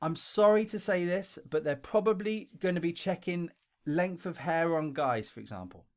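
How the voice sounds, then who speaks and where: A high-pitched man with a London accent at a moderate pace, ordinary pitch variation, and a very clean recording over a silent background. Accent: broad London. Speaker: English teacher and video creator. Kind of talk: tutorial. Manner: casual, conversational.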